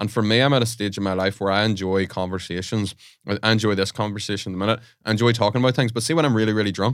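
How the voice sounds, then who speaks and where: A man with an Irish accent, fairly low in pitch, at a very fast pace with fairly even intonation, in a very clean recording over a silent background. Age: 20s. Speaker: podcast host. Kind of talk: casual chat.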